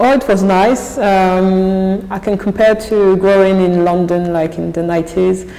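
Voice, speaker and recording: A woman talks at a fairly slow pace with fairly even intonation. Her voice has audible room echo and noticeable background noise. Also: medium pitch for a woman. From France, Paris (18th district). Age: 30s. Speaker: athlete and deputy mayor. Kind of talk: interview. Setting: office. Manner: halting.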